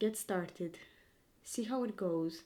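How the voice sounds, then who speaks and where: The speaker is a woman with a non-native accent and ordinary pitch variation. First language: not English. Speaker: vlogger. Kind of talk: casual vlog monologue. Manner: rambling, hesitant.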